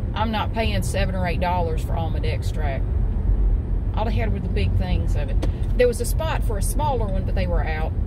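Talking fairly quickly, a woman is heard over loud background noise. The sound is dry, with no echo. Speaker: vlogger. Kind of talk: casual vlog chat. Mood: chatty, mildly exasperated. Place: car. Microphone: phone near.

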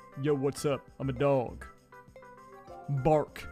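A man speaks at a medium pitch in a put-on character voice. Faint music plays in the background. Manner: playful, silly.

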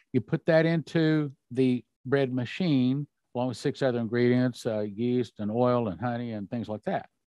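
Over a quiet background, a man speaks at a moderate pace and medium pitch with ordinary pitch variation, and the sound is dry with no echo. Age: 60s. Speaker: religious prophecy ministry leader. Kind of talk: interview. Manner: animated. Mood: calm, explanatory. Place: home room. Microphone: studio mic.

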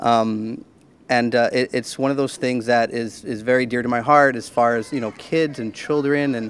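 Flat, monotone intonation at a moderate pace, with a dry sound and no echo. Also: man. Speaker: theater teacher. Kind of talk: interview answer. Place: hall.

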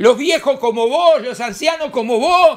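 This man speaks in an animated tone, his pitch extremely high and its variation ordinary. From Uruguay. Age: 60s. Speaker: newspaper director and political commentator; newspaper director, political commentator. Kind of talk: political commentary monologue. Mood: angry, indignant. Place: home room. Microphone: webcam.

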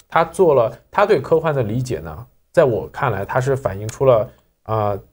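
Here a man talks at a moderate pace. His voice is somewhat breathy. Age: young. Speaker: magazine editor, sci-fi fan; program host. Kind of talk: casual panel discussion.

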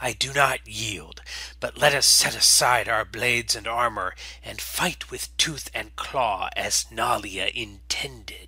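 Putting on a character voice, a man growls and hisses at a fairly slow pace. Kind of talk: solemn, formal ceremonial speech. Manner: proud, commanding, coldly menacing.

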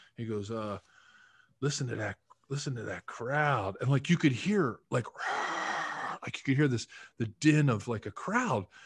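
A man talks at a fairly slow pace, his voice somewhat breathy. His intonation is lively and his loudness rises and falls sharply. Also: quiet background. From Philadelphia, US. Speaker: retired football player and podcaster; podcaster. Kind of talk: casual interview. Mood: warm, animated storytelling. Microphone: video call.

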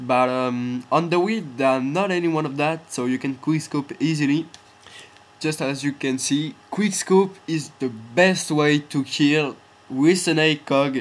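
Speaking with a non-native accent, a man uses a fairly high pitch for a man, ordinary pitch variation and a fairly slow pace. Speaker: gamer. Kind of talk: game tutorial voiceover. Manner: hesitant, filler-heavy.

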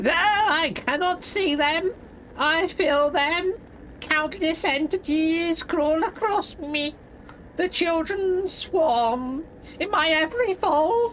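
A female-sounding put-on character voice pitches extremely high and moves at a very slow pace. Background noise is clearly heard. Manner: eerie, unsettling.

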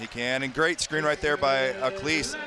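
There is noticeable background noise as a man talks at a fairly quick pace in an upbeat tone. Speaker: color analyst. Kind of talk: live color commentary. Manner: conversational analyst, upbeat and explanatory.

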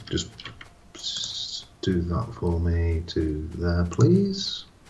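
In a put-on character voice, a man speaks very slowly and breathily at a very deep, low pitch, with light background noise behind him. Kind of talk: casual gameplay commentary. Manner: polite, airy.

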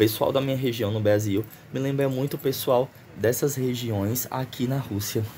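Over light background noise, a man speaks in a dark, mellow tone that is somewhat breathy. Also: fairly even intonation, moderate pace. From Northeast Brazil. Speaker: vlogger, exchange student; vlogger. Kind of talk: casual vlog.

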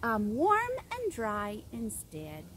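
A woman talks at a very slow pace. The sound is dry with no echo, over light background noise. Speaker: teacher reading to children. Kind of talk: story reading and letter tutorial. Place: garden.

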